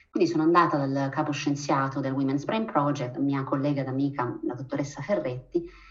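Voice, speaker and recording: A woman speaks at a very fast pace with a very deep, low pitch. Audible room echo surrounds her voice. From Abruzzo, Italy. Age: 40s. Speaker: physician and researcher. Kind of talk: interview.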